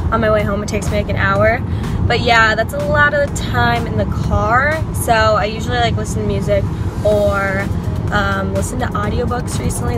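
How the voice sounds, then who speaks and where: A woman talks at a moderate pace over music in the background. The sound is dry with no echo. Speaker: lifestyle vlogger. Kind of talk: casual vlog chat. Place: car. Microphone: phone near.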